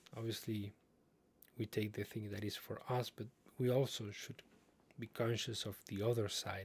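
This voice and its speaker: A man with a non-native accent, medium pitch and monotone, flat intonation, somewhat breathy, at a moderate pace with long, frequent pauses. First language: not English. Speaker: streamer reading and commenting on online posts. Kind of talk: livestream commentary on read-out posts. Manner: halting, with fillers and repetitions.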